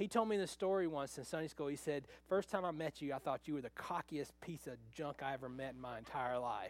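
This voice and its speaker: In a normal speaking voice, a man with a fairly high pitch talks at a fairly quick pace with hardly any pauses and ordinary pitch variation. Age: 50s. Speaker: pastor. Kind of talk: sermon.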